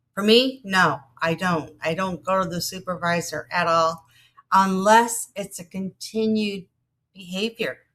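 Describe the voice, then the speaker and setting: A woman speaks fairly slowly in an ordinary speaking voice. Her pitch is medium, with ordinary pitch variation. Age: 60s. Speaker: vlogger on job loss over 50. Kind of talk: casual monologue. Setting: outdoors in a garden.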